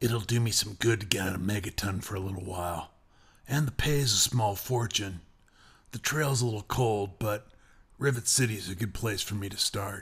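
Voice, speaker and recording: A raspy, put-on character voice from a man, fairly low in pitch with ordinary variation, at a moderate pace, on a very clean recording with a silent background. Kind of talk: hard-boiled voice-over. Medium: machinima. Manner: dry, sardonic.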